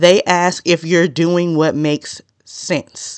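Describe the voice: A woman speaks at a low pitch with a clear, smooth tone. Her intonation stays fairly even.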